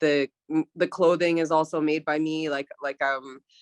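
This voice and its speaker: A woman speaks with a fairly low pitch. The sound is dry and close, with no echo. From northern British Columbia, Canada. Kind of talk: panel discussion. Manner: halting, many fillers.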